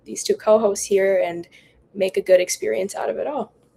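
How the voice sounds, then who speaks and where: A woman is speaking. She talks with an American accent. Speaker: finance student, podcast co-host. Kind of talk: casual podcast introduction.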